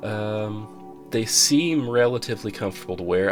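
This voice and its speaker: A man speaks in a fairly low voice. Music plays behind him. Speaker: headphone reviewer. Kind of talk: casual talk to camera.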